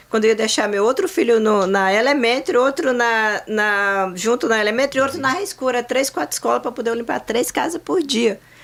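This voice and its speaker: In a plain, everyday voice, a woman with a fairly high pitch talks at a fairly quick pace with lively intonation, hardly any pauses and very even loudness. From Brazil, interior of Ceará (Northeast). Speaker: insurance agency owner. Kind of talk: casual chat.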